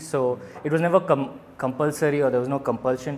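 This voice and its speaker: Using fairly even intonation, a man with a medium pitch talks at a very fast pace. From India. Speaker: doctor and stand-up comedian. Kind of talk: casual chat. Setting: pizza restaurant.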